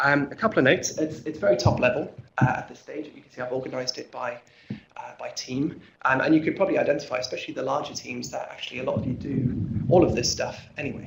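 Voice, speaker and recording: Amid audible room echo, a man with an American accent talks at a very fast pace with big swings in loudness. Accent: English, noticeable to a US audience. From England, Norwich. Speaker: research fellow. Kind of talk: conference presentation. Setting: conference room with audience. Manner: halting, many fillers and repetitions.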